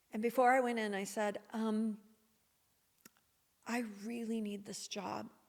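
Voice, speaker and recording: Soft-spoken and fairly high-pitched, a woman with an American accent speaks in a monotone, flat intonation. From Missouri, USA. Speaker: podcast guest. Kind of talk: podcast interview answer, personal storytelling.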